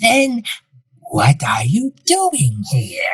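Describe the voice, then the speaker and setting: This is a put-on character voice. Its pitch sits fairly high. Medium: audio drama. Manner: suave, calm.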